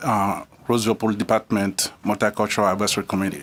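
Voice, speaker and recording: With a non-native accent, this man speaks in a fairly low pitch using monotone, flat intonation. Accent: foreign. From immigrant, abroad. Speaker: public commenter at city council. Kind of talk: public comment. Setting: city council meeting.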